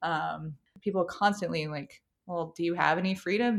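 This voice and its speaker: On a very clean recording with a silent background, a woman with an American accent and a fairly low pitch uses an ordinary speaking voice with ordinary pitch variation. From US South, North Carolina (Apex, Raleigh area). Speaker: psychology PhD, tech researcher. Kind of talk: interview conversation. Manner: casual, filler-heavy with frequent 'like'.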